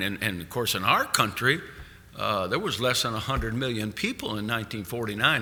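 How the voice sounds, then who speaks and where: A man's bright, sharp, medium-pitched voice at a fairly quick pace, with ordinary pitch variation and audible room echo. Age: 70s. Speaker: evangelist. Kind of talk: sermon. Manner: halting.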